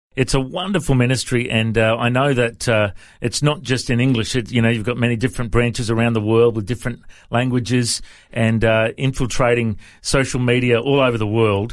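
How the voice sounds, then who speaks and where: An unremarkable speaking voice at a fairly quick pace, with fairly even intonation, very even loudness and a very clean recording over a silent background. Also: man, medium pitch for a man. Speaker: radio host. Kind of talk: casual interview. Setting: studio.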